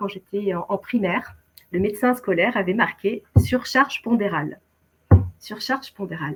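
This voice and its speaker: A woman's somewhat breathy voice at a fairly high pitch. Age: 60s. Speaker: keto dieter sharing her story. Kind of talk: testimony. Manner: hesitant, many fillers.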